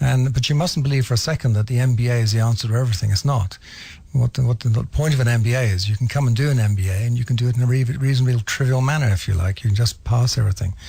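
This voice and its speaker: Speaking very fast with an English accent, a man uses a medium pitch with ordinary pitch variation, a dark, mellow tone that is somewhat breathy, and very even loudness. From England. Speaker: business school head. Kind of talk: radio interview.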